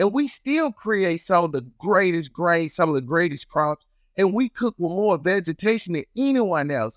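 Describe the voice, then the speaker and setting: Someone with a Southern US accent speaks at a moderate pace with lively intonation. The sound is dry and close with no echo, on a very clean recording with a silent background. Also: man, high pitch for a man. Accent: Southern US, noticeable. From Chicago and Mississippi. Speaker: chef and TV host. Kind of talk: casual interview, trivia game.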